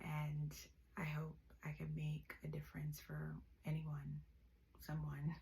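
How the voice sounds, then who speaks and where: A woman's relaxed tone at a very slow pace. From Jamaica. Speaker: vlogger. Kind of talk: casual vlog monologue. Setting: bedroom. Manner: relaxed, hesitant with fillers.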